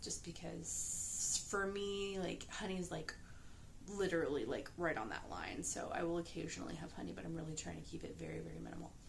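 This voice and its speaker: Soft-spoken and calm, a woman talks at a fairly quick pace. Noticeable background noise sits behind her. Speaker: pastry chef and mother of young children. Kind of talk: casual talk to camera, vlog. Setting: late at night, quiet home. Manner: soft-spoken, calm, quiet.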